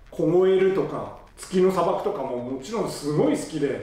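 Faint music plays behind a man with a high-pitched voice, and room echo is audible. He speaks at a moderate pace. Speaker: fan vlogger. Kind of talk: casual vlog chat. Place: home room.

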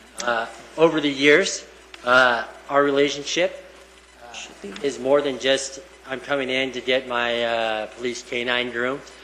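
Amid noticeable background noise and audible room echo, a man speaks at a medium pitch, fairly slowly, with fairly even intonation. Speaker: police canine handler. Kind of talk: public remarks at meeting. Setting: town council meeting. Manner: loud.

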